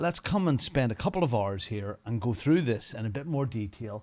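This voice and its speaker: On a very clean recording with a silent background, a man speaks at a moderate pace with very wide pitch swings. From Northern Ireland. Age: 50s. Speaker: sim racing streamer. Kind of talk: casual livestream commentary. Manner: casual, chatty.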